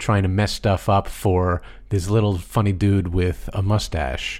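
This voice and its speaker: On a very clean recording with a silent background, a man with an American accent and an ordinary speaking voice talks at a fairly slow pace, fairly low in pitch with fairly even intonation. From United States. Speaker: film score podcast co-host. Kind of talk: casual chat.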